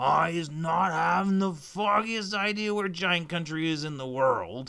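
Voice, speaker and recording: At a moderate pace, a man uses a put-on character voice pitched high. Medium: read story. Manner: jumbled grammar, made-up words.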